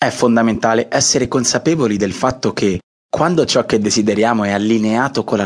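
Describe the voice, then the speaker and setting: A man talks in a normal speaking voice at medium pitch. His pace is fairly quick and his intonation fairly even. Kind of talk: audiobook intro, motivational coaching address. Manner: warm, reassuring, direct address to listener.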